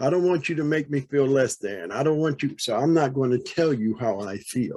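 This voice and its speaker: An unremarkable speaking voice, a man's, goes at a moderate pace with ordinary pitch variation against a quiet background. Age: 60s. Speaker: audience participant in panel discussion. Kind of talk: panel discussion comment.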